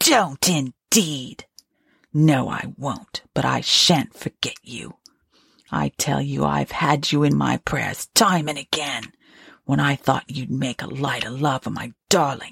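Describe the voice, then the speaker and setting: A woman's put-on character voice, very deep and low in pitch, at a fairly slow pace, dry and close with no echo, in a very clean recording with a silent background. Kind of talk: Victorian ghost story reading. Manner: bitter, accusing, vengeful.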